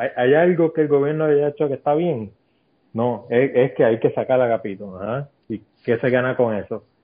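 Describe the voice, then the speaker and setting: This man has a plain, everyday voice at a medium pitch, speaking at a moderate pace with ordinary pitch variation. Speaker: podcast guest. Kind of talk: casual chat.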